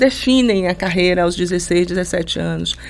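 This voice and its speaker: A woman talks at a fairly quick pace with ordinary pitch variation while noticeable background noise runs underneath. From Brazil, Salvador (Bahia). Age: 50s. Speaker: university professor. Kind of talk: interview conversation. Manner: halting, many repetitions.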